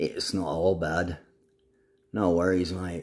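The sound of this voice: A man puts on a raspy character voice with a very deep, low pitch. He speaks fairly slowly in monotone, flat intonation.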